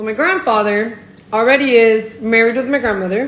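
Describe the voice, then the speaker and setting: Over noticeable background noise, a woman with an American accent speaks at a high pitch and a fairly quick pace. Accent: Miami Cuban American English. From Miami. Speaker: Cuban American storyteller. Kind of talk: casual storytime to camera. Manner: casual, profane.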